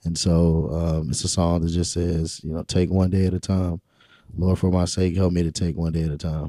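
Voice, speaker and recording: A man speaks at a fairly quick pace with a very deep, low pitch and a dark, mellow tone. His intonation is monotone and flat. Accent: eastern North Carolina. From Rocky Mount, eastern North Carolina. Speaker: city councilman and pastor. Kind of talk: casual interview chat.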